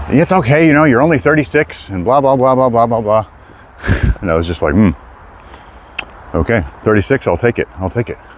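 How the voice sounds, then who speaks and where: There is noticeable background noise as a man talks at a medium pitch and fairly quick pace. His pitch swings very widely, and he takes long, frequent pauses. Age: 30s. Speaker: hiking livestreamer. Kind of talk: live stream walk chat. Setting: outdoors on a hike. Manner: casual, rambling.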